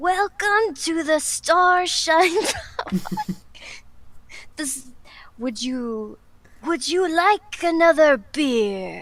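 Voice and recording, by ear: In a put-on character voice, a female-sounding speaker rasps at an extremely high pitch, going very slowly with long, frequent pauses.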